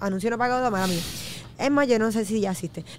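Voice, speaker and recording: A woman talks with ordinary pitch variation. The sound is dry, with no echo. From Puerto Rico, Trujillo Alto; Puerto Rico. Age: 30s. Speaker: fitness enthusiast and media personality; podcast guest. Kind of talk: casual chat. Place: studio. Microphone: studio mic.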